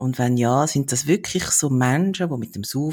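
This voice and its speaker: In a very clean recording with a silent background, a man speaks at a very slow pace with ordinary pitch variation. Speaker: podcast host. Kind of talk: interview.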